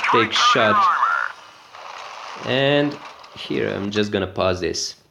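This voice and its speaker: A man with a non-native accent at a very slow pace. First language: not English. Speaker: gaming video creator. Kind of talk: gameplay commentary tutorial. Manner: hesitant, many filler sounds.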